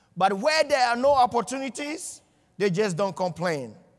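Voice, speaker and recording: A man with a non-native accent speaks in an animated tone with lively intonation on a very clean recording with a silent background. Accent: foreign. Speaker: motivational speaker. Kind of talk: motivational speech.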